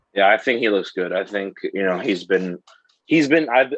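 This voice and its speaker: A man speaks in a normal speaking voice at a fairly low pitch and a fairly quick pace. The sound is dry and close, with no echo. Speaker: sports podcast co-host. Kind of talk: casual podcast chat.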